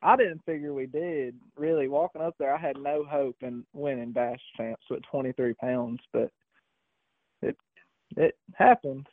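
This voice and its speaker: Speaking at a fairly slow pace, a man with a fairly high pitch and ordinary pitch variation has a plain, everyday voice. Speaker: bass fishing tournament angler. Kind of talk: casual interview.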